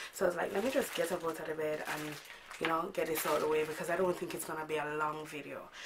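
Very fast speech from a woman with a very deep, low pitch and fairly even intonation, with audible room echo and noticeable background noise. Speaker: beauty vlogger. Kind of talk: casual vlog chat. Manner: informal, chatty.

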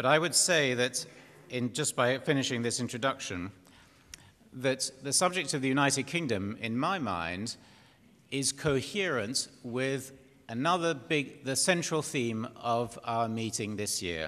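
This man has an English accent and a medium pitch, with a bright, sharp tone. He talks at a fairly slow pace with lively intonation. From Britain. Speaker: panel chairman. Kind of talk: conference chairing. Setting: stage with audience. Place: hall. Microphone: podium.

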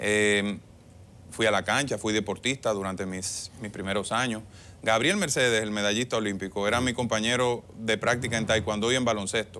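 Light background noise sits behind a man with a fairly low pitch and a bright, sharp tone. His intonation is fairly even. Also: moderate pace. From Dominican Republic, Monte Plata; Dominican Republic. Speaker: government official and political candidate; candidate. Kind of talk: TV interview. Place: studio. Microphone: lapel.

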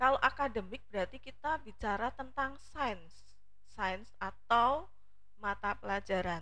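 Speaking at a very slow pace, a woman uses a fairly high pitch, a bright, sharp tone and lively intonation. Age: 40s. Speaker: teacher, academic competition coach. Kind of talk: informative talk to students.

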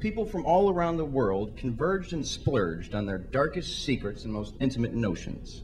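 Vocal fry runs through a man's voice as he speaks at a moderate pace with very wide pitch swings over light background noise. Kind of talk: spoken word poetry performance. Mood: wry, satirical. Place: stage. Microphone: handheld.

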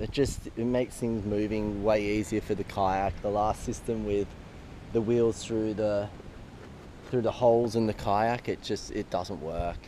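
Speaking at a fairly slow pace, a man has a fairly low pitch, a dark, mellow tone and fairly even intonation.

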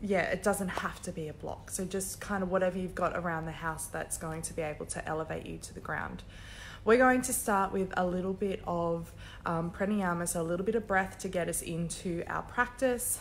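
A woman with a fairly low pitch, ordinary pitch variation and a fairly quick pace, over light background noise. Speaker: yoga instructor. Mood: friendly, calm, upbeat. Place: gym. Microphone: headset.

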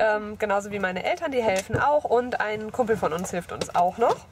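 A woman speaks at a fairly quick pace over noticeable background noise, with a dry sound and no echo. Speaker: vlogger. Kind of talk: casual vlog chat. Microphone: phone near.

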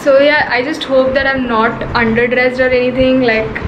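At a moderate pace, a woman speaks in a high voice while noticeable background noise carries on. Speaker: fashion vlogger. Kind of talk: casual vlog chat. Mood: excited but nervous. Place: home room. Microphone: phone near.

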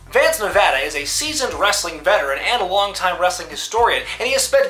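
A man's raised, projected voice at a very fast pace, with faint music in the background. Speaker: wrestling show host. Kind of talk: commentary. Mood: mocking, indignant. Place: home room.

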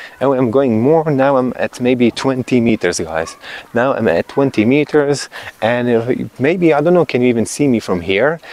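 In a dry sound with no echo, a man speaks at a moderate pace with lively intonation and very even loudness. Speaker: tech YouTuber. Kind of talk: product review. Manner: animated, enthusiastic. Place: garden. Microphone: lapel.

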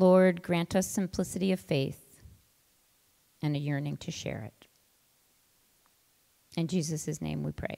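With a dark, mellow tone and vocal fry, a woman speaks at a low pitch and a fairly slow pace, leaving long, frequent pauses. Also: fairly even intonation.

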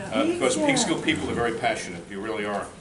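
The clip features a man speaking. Audible room echo and noticeable background noise are present. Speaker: debate moderator. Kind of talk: moderating a public candidates forum.

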